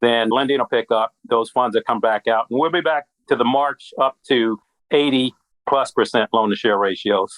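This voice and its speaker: With an American accent, a man speaks in a normal speaking voice at medium pitch and moderate pace, his loudness very even and his pitch variation ordinary. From US Midwest. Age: 60s. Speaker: credit union strategist at a bank. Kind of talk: podcast interview.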